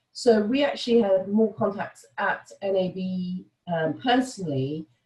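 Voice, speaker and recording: With a British accent, a woman speaks at a medium pitch. Her intonation is lively and her pace fairly slow. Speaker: sales director. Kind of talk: webinar presentation. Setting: online webinar. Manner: frequent fillers (um, uh).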